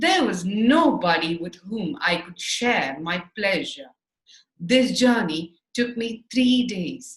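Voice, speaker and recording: A woman's fairly high, somewhat breathy voice at a very slow pace, with very wide pitch swings. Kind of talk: audiobook reading for children. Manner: clear, easy to follow.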